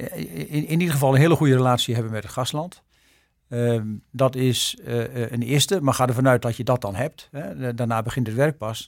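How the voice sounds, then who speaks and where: This man speaks at a moderate pace, with medium pitch and ordinary pitch variation. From Netherlands, Arkel, Zuid-Holland. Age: 60s. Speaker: ambassador. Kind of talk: interview. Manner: hesitant, with many fillers.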